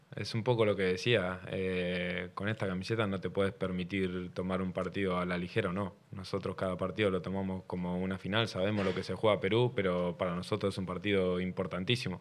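Over light background noise, a man with a very deep, low pitch talks at a fairly quick pace in a monotone, flat intonation. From Argentina. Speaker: professional footballer. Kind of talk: press conference. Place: meeting room. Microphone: podium.

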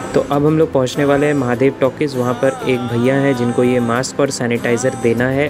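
Clear music plays in the background as a man speaks with hardly any pauses. His intonation is monotone and flat, and his loudness is very even. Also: moderate pace. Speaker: moto vlogger. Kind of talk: casual vlog chat. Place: motorbike. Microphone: helmet.

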